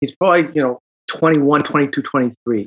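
With a Midwestern accent, a man speaks at a fairly high pitch and with lively intonation, in a dry, close sound with no echo. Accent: American Midwest. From Chicago. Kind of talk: casual chat.

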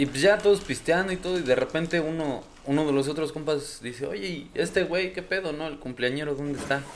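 A man with a plain, everyday voice, fairly high in pitch, talks at a fairly quick pace with hardly any pauses and ordinary pitch variation. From Hidalgo, Mexico. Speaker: podcast guest telling ghost stories. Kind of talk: casual chat.

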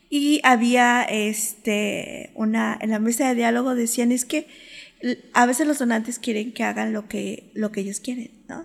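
This woman has an unremarkable speaking voice with a fairly high pitch. She speaks at a fairly slow pace with ordinary pitch variation. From Mexico City. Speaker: podcast host. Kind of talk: interview.

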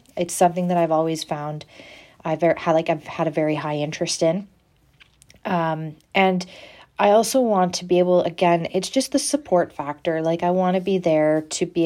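On a very clean recording with a silent background, a woman with a fairly low pitch and a dark, mellow tone speaks at a moderate pace with fairly even intonation. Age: 20s. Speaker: nursing student. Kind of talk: solo student podcast presentation. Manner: halting, many fillers.

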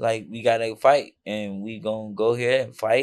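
Using a normal speaking voice, a man talks at a moderate pace with an American accent, his medium pitch showing ordinary variation. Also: very clean recording, silent background. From Chicago. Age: 30s. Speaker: boxer. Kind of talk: casual chat.

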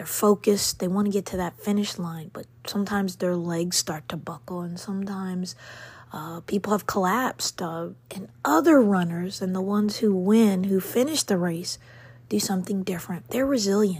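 A woman speaks in a warm, somewhat breathy tone at a medium pitch with ordinary pitch variation. Her loudness swings widely. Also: moderate pace. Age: 50s. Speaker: podcast host, self-care motivational speaker. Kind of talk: motivational monologue. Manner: warm, encouraging.

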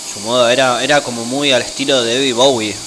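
A man speaks at a medium pitch with fairly even intonation. Room echo is audible, along with noticeable background noise. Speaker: youth radio co-host. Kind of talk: casual chat.

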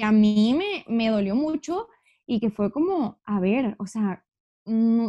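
Recorded in a dry, close sound with no echo, a woman with a fairly high pitch and a dark, mellow, somewhat breathy tone speaks with lively intonation. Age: 20s. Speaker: university student. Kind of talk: casual chat.

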